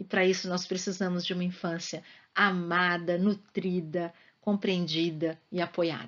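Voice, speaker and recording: A woman's fairly low voice, fairly slow and monotone, with flat intonation. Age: 60s. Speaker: school psychologist. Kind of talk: interview answers to students. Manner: talkative.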